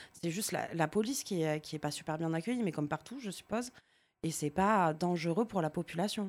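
A woman with a plain, everyday voice speaks at a fairly quick pace, fairly low in pitch, with ordinary pitch variation. The recording is very clean, with a silent background. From Marseille, France. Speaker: audience member, art director. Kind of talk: casual chat.

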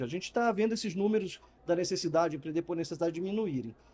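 A man speaks at a very fast pace with noticeable background noise. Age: 50s. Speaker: customer experience consultant and speaker. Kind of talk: interview. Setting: live event venue.

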